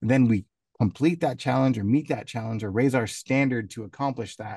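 A man with an ordinary speaking voice, medium pitch, fairly even intonation and a fairly quick pace. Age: 30s. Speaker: podcast co-host, sales manager. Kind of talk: casual chat.

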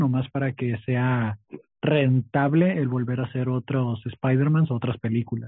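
In a normal speaking voice, a man talks at medium pitch and a moderate pace with fairly even intonation. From Tijuana, Mexico. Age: 20s. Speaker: stand-up comedian and podcaster. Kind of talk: casual interview chat.

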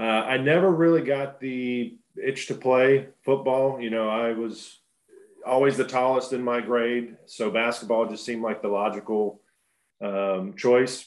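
With an American accent, a man talks at a medium pitch, his pitch varying in an ordinary way. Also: fairly slow pace. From US, small town near Pittsburgh. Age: 30s. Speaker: professional basketball player. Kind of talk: casual interview chat.

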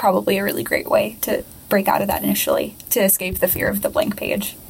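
Noticeable background noise sits behind a woman who speaks fairly quickly. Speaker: podcast host and poet. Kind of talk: casual interview.

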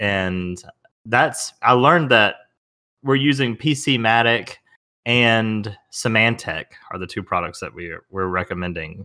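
A man speaks in a Southern US accent at a fairly slow pace, his tone bright and sharp. His loudness swings a lot, and the recording is very clean with a silent background. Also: medium pitch for a man, lively intonation. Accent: Southern US, runs words together. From US South. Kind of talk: casual chat.

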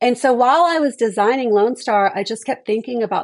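A woman with an American accent uses a normal speaking voice at a fairly quick pace, her intonation lively against a quiet background. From Houston, Texas. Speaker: vacation rental owner. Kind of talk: casual interview.

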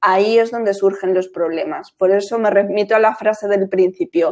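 Her voice is an ordinary speaking voice, and the woman talks at a moderate pace and a medium pitch. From Spain, Madrid. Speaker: graphic designer. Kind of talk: casual interview.

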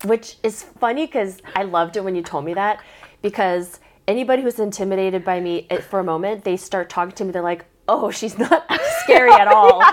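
In an ordinary speaking voice, a woman with an American accent talks fairly quickly at a medium pitch with ordinary pitch variation. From South Korea, then Portland, Oregon. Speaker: guest, triathlete. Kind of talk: casual chat.

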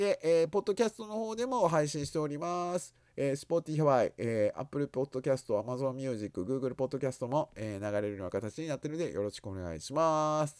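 Pitch swings very widely, with hardly any pauses in the delivery. The sound is dry and close with no echo, in a very clean recording with a silent background. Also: man, fairly high pitch for a man, moderate pace. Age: 50s. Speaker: podcast host. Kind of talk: news digest chat. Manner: halting, many fillers.

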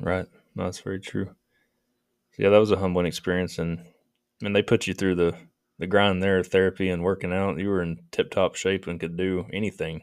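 Very deep and low, a man's voice moves at a fairly quick pace in a flat monotone, broken by long, frequent pauses. The recording is very clean with a silent background. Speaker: podcast host.

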